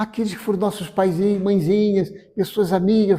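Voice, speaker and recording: A man speaks in a high-pitched voice with a warm tone and a dark, mellow tone. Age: 70s. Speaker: spiritist lecturer. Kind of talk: spiritual lecture. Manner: warm, conversational.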